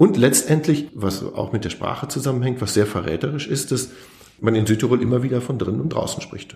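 A man's unremarkable speaking voice at a medium pitch, fairly quick in pace, with ordinary pitch variation. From Germany, Lower Rhine. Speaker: historian. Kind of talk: interview.

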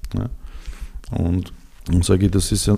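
Very deep and low in pitch, a man's somewhat breathy voice has a dark, mellow tone and fairly even intonation. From Serbia, Belgrade. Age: 40s. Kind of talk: interview. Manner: halting.

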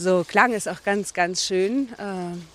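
Her pace is fairly slow. The woman's medium pitch shows ordinary variation. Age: 50s. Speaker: forest therapy guide. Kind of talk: walking interview. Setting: outdoors. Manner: halting.

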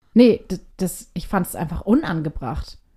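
On a very clean recording with a silent background, a woman's dark, mellow, medium-pitched voice carries lively intonation at a fairly slow pace. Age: 30s. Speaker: podcast co-host. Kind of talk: casual chat. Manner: animated.

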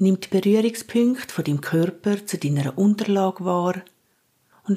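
A woman speaks in a calm, soothing tone that is dark and mellow. Her pitch rises and falls in an ordinary way. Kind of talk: guided meditation. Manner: slow, calm, soothing.

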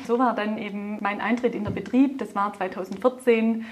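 With a Swabian accent, a woman speaks at a fairly high pitch and fairly even intonation against noticeable background noise. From Swabia, Germany. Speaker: car dealership group executive. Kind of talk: interview. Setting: in person at a car dealership.

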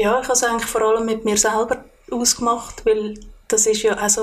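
A woman with a fairly high pitch speaks at a fairly quick pace in monotone, flat intonation. Noticeable background noise is present. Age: 40s. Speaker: podcast guest. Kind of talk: personal interview. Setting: kitchen at home.

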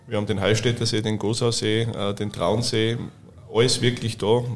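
A man speaks in a flat, monotone way. His voice is somewhat breathy. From Austria, Styria. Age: 30s. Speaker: hotel director. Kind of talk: casual interview. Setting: hotel wine room.

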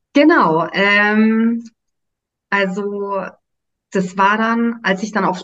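Her intonation stays fairly even. The woman's voice carries some breathiness. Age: 30s. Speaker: nursery teacher and human design coach trainee. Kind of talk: casual chat. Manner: hesitant, many fillers.

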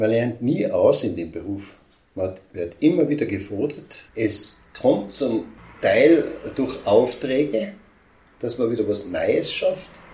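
Very slow speech with audible room echo. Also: man. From Austria, Tyrol. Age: 60s. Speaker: sculptor and woodcarver. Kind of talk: interview. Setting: sculpture workshop.

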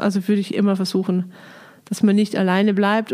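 A woman speaks at a fairly quick pace in a dark, mellow tone. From Lower Bavaria, Germany. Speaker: biblical scholar, director of a Bible institute. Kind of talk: interview. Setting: monastery, in person.

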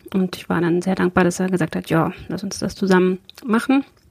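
A woman with a medium pitch and a dark, mellow tone speaks at a moderate pace. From eastern Germany, Prignitz (Brandenburg). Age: 40s. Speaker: politician. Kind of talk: interview. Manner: halting, many fillers.

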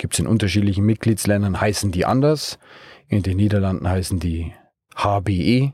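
This man has a dark, mellow tone. His pitch sits fairly low. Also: ordinary pitch variation, moderate pace, very clean recording, silent background. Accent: Bavarian. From Bavaria, Munich region. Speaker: startup co-founder and managing director. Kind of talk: interview. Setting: mobile podcast studio in a car at a trade fair.

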